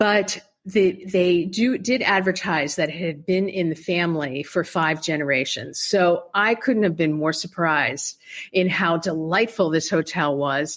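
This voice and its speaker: Speaking with an American accent, a woman goes at a fairly slow pace. Her pitch varies in an ordinary way. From Pennsylvania, US. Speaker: poet and travel writer. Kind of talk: interview.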